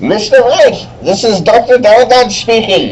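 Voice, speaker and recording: A man does a put-on character voice at an extremely high pitch. He goes at a fairly slow pace over clear background noise. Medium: stage play. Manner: stammering, worried.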